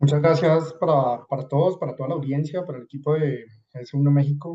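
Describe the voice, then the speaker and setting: A man's fairly high, somewhat breathy voice with a dark, mellow tone and a slight Colombian accent, fairly quick with fairly even intonation. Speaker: supply chain consultant. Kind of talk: webinar presentation. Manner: hesitant, many fillers.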